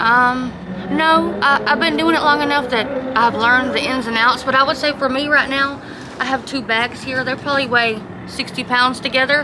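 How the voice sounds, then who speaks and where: A woman with a Southern accent speaks in a raised, projected voice at a high pitch. Her pace is moderate and her intonation fairly even, with noticeable background noise. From US South, South Georgia. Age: 40s. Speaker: homeless woman, former pastor. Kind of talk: interview testimony.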